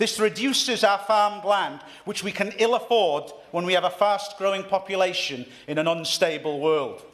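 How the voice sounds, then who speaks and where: A man's high-pitched voice with a North East Welsh accent, ordinary pitch variation and a moderate pace. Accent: North East Wales. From North East Wales. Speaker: member of parliament. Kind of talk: parliamentary speech. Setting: parliament debate chamber. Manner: formal.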